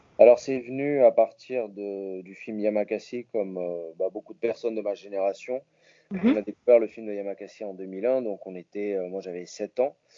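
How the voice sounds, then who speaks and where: A man with a fairly low pitch speaks at a moderate pace with fairly even intonation. His loudness rises and falls in big swings. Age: 20s. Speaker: parkour athlete. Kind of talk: interview. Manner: halting, repeats words.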